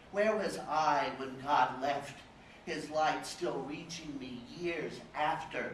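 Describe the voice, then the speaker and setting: With an American accent, a man speaks at a very slow pace in a fairly high voice, with noticeable background noise. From Dallas, Texas. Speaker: poet reading at a literary fellows event. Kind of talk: poetry reading at a live literary event. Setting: live event, audience room.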